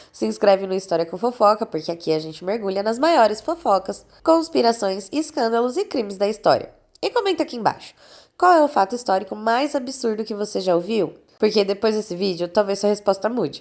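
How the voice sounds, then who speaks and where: At a fairly quick pace, a woman with a Brazilian accent speaks in an animated tone with lively intonation and a fairly high pitch. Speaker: history youtuber. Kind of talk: scripted narration.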